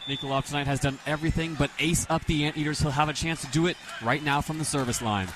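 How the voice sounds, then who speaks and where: Against noticeable background noise, a man with a fairly high pitch talks at a very fast pace with fairly even intonation. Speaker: color commentator. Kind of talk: radio sports color commentary.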